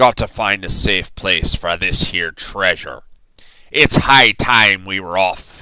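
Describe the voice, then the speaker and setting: Put-on character voice, raspy and fairly slow in pace. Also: man, very deep, low pitch for a man. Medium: read story. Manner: loud, bellowing.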